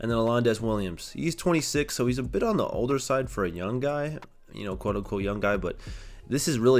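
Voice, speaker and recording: A man at a very fast pace, with lively intonation. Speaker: gaming YouTuber. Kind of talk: gameplay commentary. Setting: temporary recording setup away from home. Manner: casual, filler-heavy; stuttering at times.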